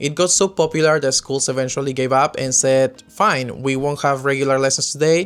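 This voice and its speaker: A man speaks with a Spanish accent at a fairly high pitch. He moves at a fairly quick pace, his loudness very even. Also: fairly even intonation, hardly any pauses. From Peru. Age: 20s. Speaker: expat podcaster. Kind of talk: casual talk to camera.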